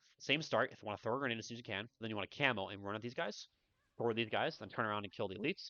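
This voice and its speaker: Here is a man with a medium-pitched voice. He talks at a very fast pace. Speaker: speedrunner. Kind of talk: game tutorial voiceover. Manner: casual.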